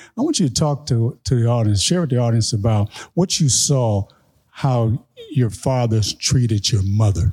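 A man's medium-pitched, dark, mellow voice, somewhat breathy, with very even loudness and ordinary pitch variation. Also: moderate pace. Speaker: podcast host and coach. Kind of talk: live event hosting. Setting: stage with audience. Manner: playful.

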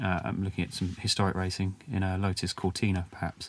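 In a southern English accent, a man with a very deep, low voice speaks in a flat monotone on a very clean recording with a silent background. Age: 20s. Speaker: business founder. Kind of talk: interview. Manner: hesitant, many fillers.

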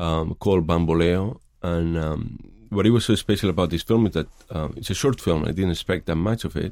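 In a Spanish accent, a man talks at a fairly quick pace with a very deep, low pitch and ordinary pitch variation, in a very clean recording with a silent background. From Spain, Madrid. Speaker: filmmaker. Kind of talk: interview. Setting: studio. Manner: halting.

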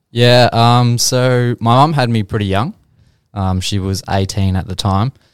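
Speaking with an Australian accent at a fairly slow pace, the voice shows ordinary pitch variation. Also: man, medium pitch for a man, very clean recording, silent background. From Australia, Geelong. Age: 20s. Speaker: real estate agent. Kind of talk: casual interview.

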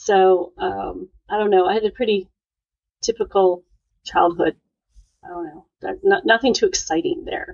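A woman with an American accent speaks at a moderate pace, taking long, frequent pauses, with big swings in loudness. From US Upper Midwest (Sioux Falls, South Dakota). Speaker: estate planning attorney. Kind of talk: casual interview. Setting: podcast.

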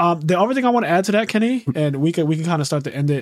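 High-pitched male voice with a Philadelphia accent and lively intonation. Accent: Philadelphia American English. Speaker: podcast host. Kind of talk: casual chat. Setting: video call. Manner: animated.

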